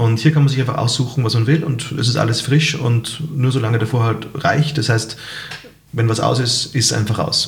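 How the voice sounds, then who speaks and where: Over noticeable background noise and audible room echo, a man speaks at a moderate pace and medium pitch, with very even loudness and fairly even intonation. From Salzburg, Austria. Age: 30s. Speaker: restaurant owner and musician. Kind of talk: casual interview.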